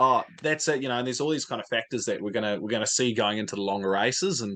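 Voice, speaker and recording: Speaking very fast with a New Zealand accent, a man has a bright, sharp tone and a medium pitch with ordinary variation. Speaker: motorsport fan content creator. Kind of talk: casual chat. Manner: many fillers and repetitions.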